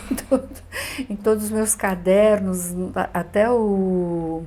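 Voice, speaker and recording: A woman's voice comes across somewhat breathy, with a dark, mellow tone. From Brazil, São Paulo area (Carapicuíba), Russian émigré family. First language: Russian (speaking Portuguese). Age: 70s. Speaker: writer and visual artist. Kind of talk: interview.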